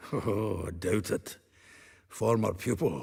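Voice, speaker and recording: Using a put-on character voice, a man speaks raspily at a fairly slow pace, with a fairly low pitch and ordinary pitch variation. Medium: video game. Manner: chuckling, jovial.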